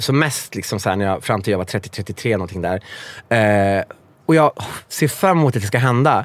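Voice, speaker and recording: A man's fairly low voice at a moderate pace, with big swings in loudness. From Värmland, Sweden. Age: 40s. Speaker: author. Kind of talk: casual chat. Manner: halting.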